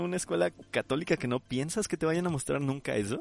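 In a dry, close recording with no echo, a man speaks with lively intonation. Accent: Mexican. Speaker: podcast host, architect. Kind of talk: casual chat.

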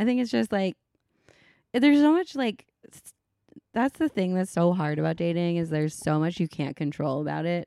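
With a dark, mellow tone and fairly low pitch, a woman speaks at a moderate pace with very wide pitch swings, big swings in loudness and long, frequent pauses, on a very clean, dry, close recording with a silent background and no echo. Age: 30s. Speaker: podcast co-host. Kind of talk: casual chat.

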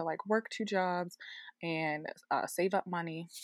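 Her medium pitch shifts in an ordinary way as the woman talks. No echo is present, and the sound is dry and close. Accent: American. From US, Baltimore, Maryland. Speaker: illustrator and muralist. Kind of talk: interview conversation. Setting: at home, remote interview. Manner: animated.

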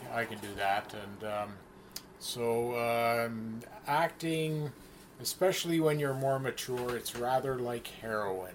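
A man with a Canadian accent talks at a very slow pace, his medium-pitched voice carrying lively intonation. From Canada, near Windsor, Ontario. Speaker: community theater actor and director. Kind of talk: casual interview chat.

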